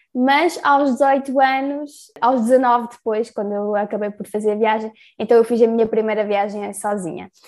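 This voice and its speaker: A woman's fairly high voice, an ordinary speaking voice with ordinary pitch variation, at a fairly slow pace with hardly any pauses. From Portugal. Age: 20s. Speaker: solo travel project creator. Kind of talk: casual interview.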